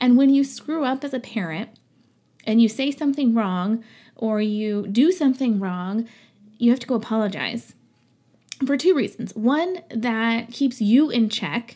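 This woman's voice sits fairly high. Her tone is dark and mellow, and she talks fairly slowly. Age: 30s. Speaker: podcast host and small business owner. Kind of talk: casual monologue. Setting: at home, no studio. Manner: occasionally stumbles over words. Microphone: non-professional equipment.

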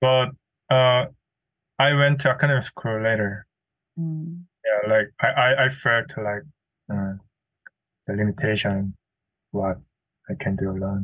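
Fairly slow speech in a Korean accent, with ordinary pitch variation and long, frequent pauses. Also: man, medium pitch for a man. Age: young. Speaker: painter. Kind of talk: interview. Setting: video call. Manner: halting.

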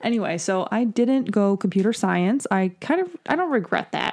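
This woman speaks with an American accent. Her medium pitch carries lively intonation. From New York. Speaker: physical therapist and practice manager. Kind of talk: casual chat.

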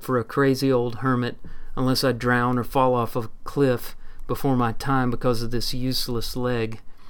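Heard here is an unforced reading voice.

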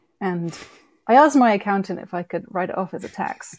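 A British accent at a moderate pace, in a dry, close sound with no echo. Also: woman, very clean recording, silent background. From UK. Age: 30s. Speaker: wildlife documentary producer and director. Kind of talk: casual interview chat.

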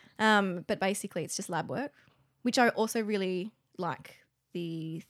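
A woman with an Australian accent speaks at a moderate pace in a medium pitch with vocal fry, on a very clean recording with a silent background. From Canberra, Australia. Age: 30s. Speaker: comedian. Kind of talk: casual chat.

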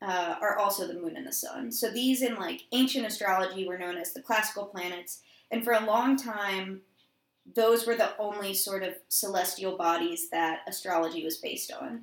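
A woman with an American accent talks in a normal speaking voice at medium pitch, with ordinary pitch variation and big swings in loudness. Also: moderate pace. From Georgia, US. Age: 20s. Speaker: podcast co-host. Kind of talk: casual chat.

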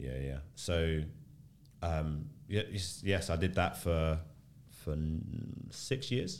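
A man with a London accent and a very deep, low pitch speaks very slowly with ordinary pitch variation, and room echo is audible. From South London, Tulse Hill. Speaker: church planter. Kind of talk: casual chat.

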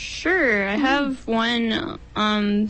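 Noticeable background noise runs under this recording. A woman speaks at a fairly high pitch with ordinary pitch variation. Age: 20s. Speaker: poet. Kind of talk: casual interview.

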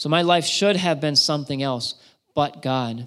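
A man speaks at a fairly quick pace in an American accent, with a fairly high pitch and ordinary pitch variation. It is a plain, everyday voice. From south-central Pennsylvania (York County). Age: 30s. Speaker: missionary. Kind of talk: testimony. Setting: church.

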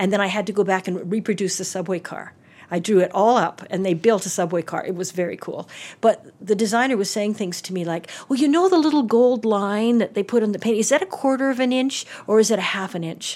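A woman has an ordinary speaking voice at a medium pitch, with ordinary pitch variation and a fairly quick pace. The recording is very clean, with a silent background. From Calgary, Alberta, Canada. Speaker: theatre and film designer, university professor. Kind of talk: casual interview chat. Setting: office interview.

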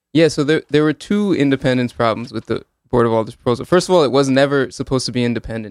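The man has a medium-pitched voice with a Northeastern US accent. The sound is dry and close, without echo. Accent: American, Northeast. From Connecticut (Hamden, Woodbridge). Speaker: law student and police accountability advocate. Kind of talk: radio interview. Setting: radio studio.

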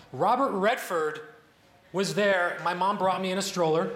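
Noticeable background noise sits behind a speaker with an American accent talking at a moderate pace. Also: man. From Chicago north suburbs (Northbrook, Illinois). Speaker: debater. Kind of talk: debate speech on stage. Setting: stage with audience.

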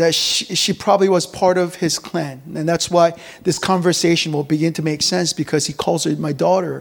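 Here a man speaks with a high pitch. His pace is moderate and his pitch variation ordinary. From rural Korea, then Virginia (US). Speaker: pastor. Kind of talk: sermon. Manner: fillers and repetitions, conversational.

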